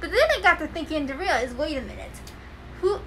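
A woman is talking with ordinary pitch variation. Noticeable noise sits behind her. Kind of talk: casual conversation.

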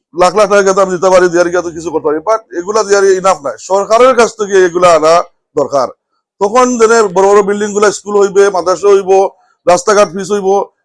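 Fairly even intonation from a man with a high-pitched voice. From England (London), Sylheti family. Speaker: politician. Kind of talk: campaign speech.

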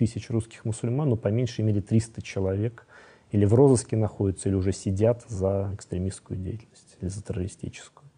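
This man has a dark, mellow tone, a somewhat breathy quality and a medium pitch, talking at a fairly quick pace. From Russia. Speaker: scholar of Islam. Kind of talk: interview.

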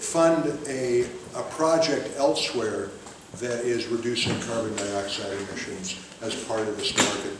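Audible room echo sits alongside noticeable background noise in this recording. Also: man. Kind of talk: public talk explaining policy. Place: hall. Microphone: camera far.

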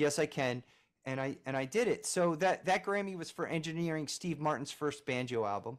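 Over a quiet background, a man talks at a fairly quick pace. His pitch is fairly high, with ordinary pitch variation. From Philadelphia. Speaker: music producer and engineer; podcast guest. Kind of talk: interview. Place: home room. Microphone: webcam.

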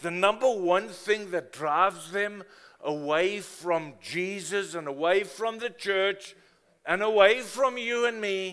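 Against a quiet background, a man speaks at a high pitch and a fairly slow pace. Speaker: preacher. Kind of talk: sermon. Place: church.

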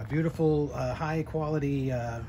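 Against light background noise, a man talks at a moderate pace with fairly even intonation. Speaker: seller who restored the motorcycle. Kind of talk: walkaround commentary. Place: street. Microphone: phone near.

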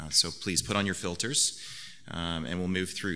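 A man talks very fast in a very deep, low voice. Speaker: conference presenter. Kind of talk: lecture. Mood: light, joking. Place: hall. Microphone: podium.

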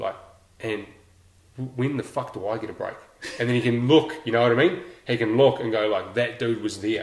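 Audible room echo surrounds a man with a New Zealand accent who talks at a fairly quick pace, with long, frequent pauses. His pitch is medium, with ordinary pitch variation. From New Zealand, Lower Hutt (Naenae). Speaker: special forces veteran; podcast guest. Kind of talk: casual chat. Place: home room. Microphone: camera far.

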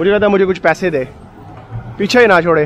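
A high-pitched male voice with ordinary pitch variation, a dry sound with no echo, and light background noise. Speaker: solo travel vlogger. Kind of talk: casual vlog chat. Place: street. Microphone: phone near.

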